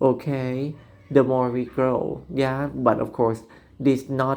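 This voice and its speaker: Someone speaks at a very slow pace with a non-native accent. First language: Thai. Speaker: vlogger. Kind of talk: monologue commentary. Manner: halting, many fillers.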